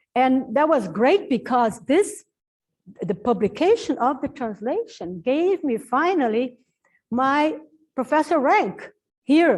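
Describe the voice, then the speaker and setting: A woman with a Portuguese accent speaks very slowly in a high voice, her pitch swinging very widely. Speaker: professor and translator. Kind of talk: Q&A talk at book launch. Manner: halting, with fillers and restarts.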